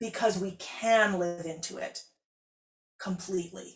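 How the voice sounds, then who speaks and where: A woman is speaking, somewhat breathy. Her intonation is fairly even. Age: 60s. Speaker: composer and harpist hosting a live stream. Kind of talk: live interactive stream talk, reading viewer comments. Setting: composing studio, live stream. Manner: conversational, with frequent restarts and fillers.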